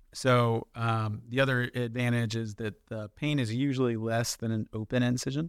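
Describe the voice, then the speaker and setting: A man with an American accent talks at a moderate pace in a monotone, flat intonation. He hardly pauses, and the sound is dry and close with no echo. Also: medium pitch for a man. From Florida, US (Jacksonville). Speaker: general surgeon. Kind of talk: interview. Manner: hesitant, many fillers.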